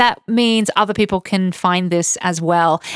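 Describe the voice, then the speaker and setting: Recorded with a dry, close sound and no echo, a woman in an Australian accent speaks at a moderate pace with lively intonation. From Australia, Queensland (Toowoomba). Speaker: podcast co-host, travel blogger. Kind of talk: casual chat. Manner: laughs often.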